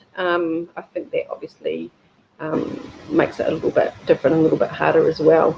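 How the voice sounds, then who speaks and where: The speaker talks at a moderate pace in a New Zealand accent. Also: woman. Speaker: embryo donor. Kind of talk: personal testimony. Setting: webinar video call. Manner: hesitant, many fillers.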